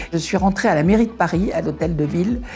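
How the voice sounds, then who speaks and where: Music in the background accompanies a woman whose pitch varies in an ordinary way. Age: 70s. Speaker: retiree. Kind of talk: testimony. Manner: halting, many hesitations.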